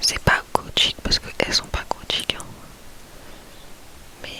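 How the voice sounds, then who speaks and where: Noticeable background noise surrounds a woman who speaks in a whisper. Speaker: ASMR youtuber. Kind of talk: casual ASMR chat.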